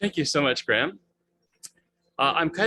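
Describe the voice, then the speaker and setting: A man speaks with a bright, sharp tone and lively intonation. The sound is dry and close with no echo. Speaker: webmaster of a religious studies website. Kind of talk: presentation in a video call. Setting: video call. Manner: fast.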